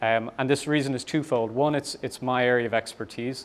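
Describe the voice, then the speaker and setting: With an Irish accent, a man talks at a fairly quick pace in a monotone, flat intonation. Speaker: startup founder and CEO. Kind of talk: conference talk. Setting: meetup with audience. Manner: fast; hesitant, many fillers.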